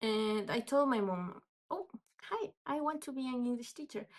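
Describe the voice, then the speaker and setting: The speaker has a Spanish accent and a lively, varied intonation. The pace is fairly slow. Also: woman. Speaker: English teacher. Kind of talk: casual storytelling vlog. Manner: halting, unscripted with fillers.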